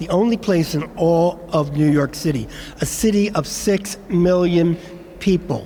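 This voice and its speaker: A man with a Philadelphia accent talks at a fairly slow pace, his high pitch showing ordinary variation. Noticeable background noise sits behind him. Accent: Philadelphia American English. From Philadelphia, US. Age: 70s. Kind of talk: speech at commemoration event.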